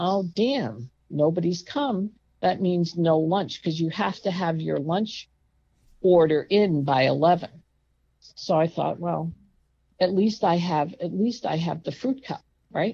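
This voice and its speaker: A woman with an American accent speaks at a fairly slow pace. Her voice is fairly low, with a dark, mellow tone. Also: lively intonation. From New York. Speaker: patient telling her hospital story. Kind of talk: storytelling interview. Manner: loud; animated.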